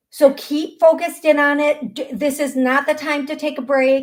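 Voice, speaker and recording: High pitch from a woman with an American accent, at a moderate pace. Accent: American accent noted by caller. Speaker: psychic medium show host. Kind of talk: live call-in psychic readings. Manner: animated, repetitive.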